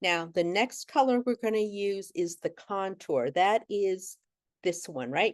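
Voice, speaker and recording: Over a quiet background, a woman with an unremarkable speaking voice and a medium pitch talks fairly slowly with lively intonation and a dry, close sound with no echo. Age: 60s. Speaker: makeup artist and business owner. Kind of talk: tutorial. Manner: casual, conversational.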